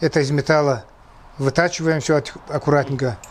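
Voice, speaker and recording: A man's fairly high-pitched voice. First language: Kabardian (speaking Russian). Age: 60s. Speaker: horse tack craftsman. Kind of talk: interview.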